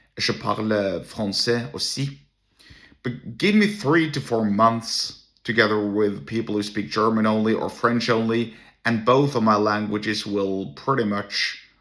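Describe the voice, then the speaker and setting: A man's medium-pitched voice with a Norwegian accent. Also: ordinary pitch variation, fairly slow pace. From Norway. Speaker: entrepreneur and solo podcaster. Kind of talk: casual monologue. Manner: halting, with many restarts.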